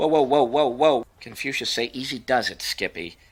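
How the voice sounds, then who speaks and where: A man puts on a character voice at medium pitch, with ordinary pitch variation and a moderate pace. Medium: voice reel. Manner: smug, mocking.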